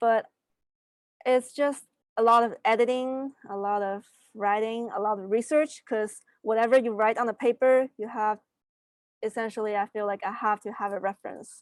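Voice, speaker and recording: A woman with a non-native accent and fairly high pitch, in a dry, close sound with no echo on a very clean recording with a silent background. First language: not English. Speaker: science fair student winner. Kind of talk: panel interview answers. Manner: halting, many fillers.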